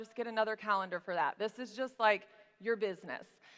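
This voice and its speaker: A woman with an American accent speaks in a bright, sharp tone with ordinary pitch variation. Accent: Southern US, coming out strong today. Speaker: business coach. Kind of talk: tutorial. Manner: casual, chatty.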